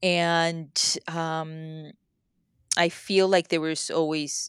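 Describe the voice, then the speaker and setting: A woman speaks at a very deep, low pitch in a monotone, flat delivery. The recording is very clean with a silent background, the sound dry and close with no echo. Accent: Spanish. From Mexico. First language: Spanish. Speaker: author. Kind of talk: casual interview chat.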